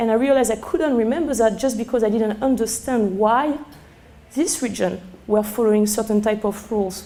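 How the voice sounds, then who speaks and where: With a strong French accent, a woman speaks at a fairly quick pace and a fairly high pitch with ordinary pitch variation. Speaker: sommelier. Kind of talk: lecture. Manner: halting; animated.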